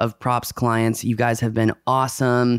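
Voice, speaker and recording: Recorded very cleanly with a silent background, a man with a normal speaking voice talks at medium pitch and a moderate pace. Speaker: podcast host. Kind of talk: casual chat.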